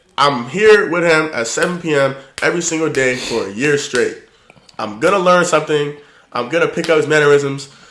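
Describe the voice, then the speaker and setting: Fairly quick male speech at a fairly high pitch, ordinary pitch variation, and audible room echo. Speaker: podcast host. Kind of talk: casual chat. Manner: well-spoken.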